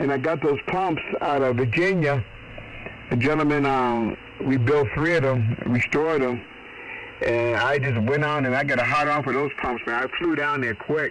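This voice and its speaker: With an American accent, a man speaks at a fairly high pitch and a moderate pace, his loudness very even, over noticeable background noise. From Boston. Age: 60s. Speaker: ham radio operator. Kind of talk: casual chat. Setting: radio contact. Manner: animated.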